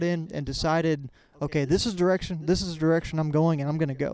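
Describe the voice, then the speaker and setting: A man speaks at a very fast pace with a Texan accent. His pitch is high. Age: 20s. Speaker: podcast host. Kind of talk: podcast interview and intro/outro.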